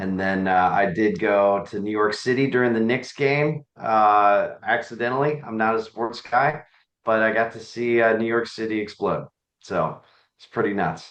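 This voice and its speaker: A man with an American accent has an ordinary speaking voice of medium pitch, ordinary pitch variation, a moderate pace and big swings in loudness. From Virginia, Nelson County. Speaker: county supervisor. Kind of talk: meeting update. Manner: casual.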